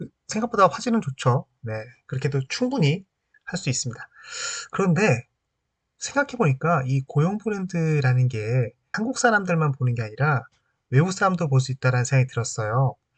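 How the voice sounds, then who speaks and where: A somewhat breathy man with a fairly high pitch speaks at a moderate pace with very wide pitch swings, the sound dry and close with no echo. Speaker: HR training YouTuber. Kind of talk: tutorial. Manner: pauses mid-sentence; casual, filler-heavy.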